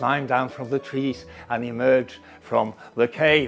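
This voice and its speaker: Music plays behind the speaker. He is a man with a medium-pitched voice. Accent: Norwegian. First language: Norwegian. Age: 60s. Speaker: professor. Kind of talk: interview monologue. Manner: fast.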